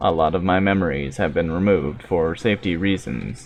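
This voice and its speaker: A put-on character voice from a man, very deep and low in pitch, at a fairly quick pace. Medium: solo performance. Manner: formal, measured.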